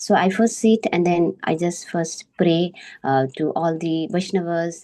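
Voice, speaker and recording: A woman with a fairly low voice and a dark, mellow tone speaks at a fairly slow pace with fairly even intonation. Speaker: member of a scripture study group. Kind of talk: scripture study presentation. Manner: halting, many fillers.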